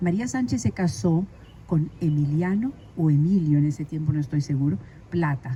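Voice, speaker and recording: A woman with a very deep, low pitch and a dark, mellow, somewhat breathy tone speaks with lively intonation and very even loudness. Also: moderate pace. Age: 80s+. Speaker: community leader. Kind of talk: interview.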